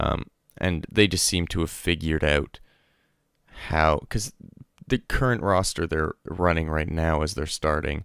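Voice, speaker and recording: The speaker is quiet and talks at a moderate pace in a very clean recording with a silent background. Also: man. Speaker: esports podcast host. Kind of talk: casual solo podcast commentary. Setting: at home, late at night. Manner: speaking quietly; hesitant, many fillers.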